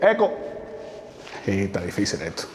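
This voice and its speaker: Here a man talks at a fairly quick pace. Background noise is noticeable. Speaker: travel vlogger. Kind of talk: vlog narration while exploring. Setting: outdoors, abandoned highway and tunnel.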